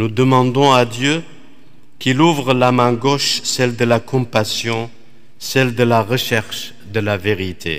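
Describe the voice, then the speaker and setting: A man with a Middle Eastern accent speaks at a very slow pace against a quiet background. His voice sits at medium pitch with ordinary variation. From Iraq. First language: Aramaic (speaking French). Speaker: Dominican priest, preacher. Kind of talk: sermon. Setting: church. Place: church. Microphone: podium.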